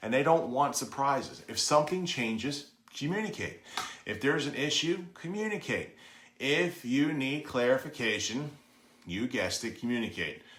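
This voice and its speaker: A man talks at a moderate pace with lively intonation. There is audible room echo. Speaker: real estate agent and BPO trainer. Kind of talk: training lesson. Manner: occasional stumbles and self-corrections.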